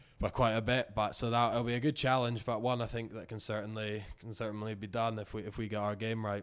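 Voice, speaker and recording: A man in a Scottish accent at a very fast pace, with hardly any pauses and flat, monotone intonation. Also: medium pitch for a man. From Scotland, Inverness. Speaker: professional rugby player. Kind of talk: interview. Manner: halting.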